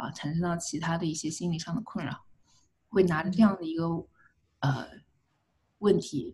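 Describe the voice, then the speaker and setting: A woman's fairly low, dark, mellow voice, somewhat breathy, with moderate pace, ordinary pitch variation and long, frequent pauses. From China. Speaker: clinical psychologist. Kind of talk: interview. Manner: hesitant fillers.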